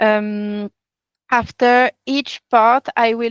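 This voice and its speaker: In a dry, close sound with no echo and a quiet background, a woman with a fairly high pitch speaks with fairly even intonation in a French accent. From France. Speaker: workshop facilitator, NGO consultancy CEO. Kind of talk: online training session. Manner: halting, with frequent repetitions.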